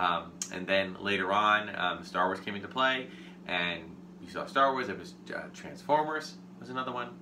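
This man has an unremarkable speaking voice, fairly low in pitch, at a moderate pace. His loudness swings widely, over light background noise. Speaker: toy collector host. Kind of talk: casual unboxing show talk. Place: home room.

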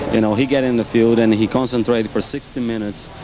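The fairly quick, flat, monotone speech sounds dry with no echo, over noticeable background noise. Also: man. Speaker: professional soccer player. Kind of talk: halftime interview; interview answer. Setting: arena floor. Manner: halting. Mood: relaxed, appreciative. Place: stadium. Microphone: handheld.

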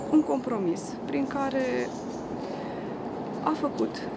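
Loud background noise runs under a woman's speech. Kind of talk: interview answer. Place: street.

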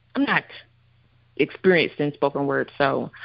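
This woman has a very deep, low pitch and a Southern US accent. She talks at a moderate pace. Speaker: poet. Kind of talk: casual interview.

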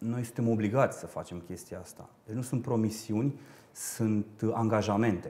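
The man's voice is somewhat breathy. His pitch variation is ordinary. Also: moderate pace. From Romania, Râmnicu Vâlcea; Romania. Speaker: parliamentary candidate, politician; candidate. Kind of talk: political TV interview; interview answer. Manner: hesitant, many filler sounds. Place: studio. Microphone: lapel.

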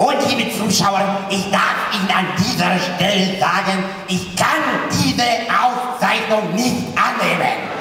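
A man uses a raised, projected voice at a very slow pace with ordinary pitch variation, strong room echo and light background noise. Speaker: comedian at an award gala. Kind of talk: stage comedy speech, impersonating celebrities. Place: stage.

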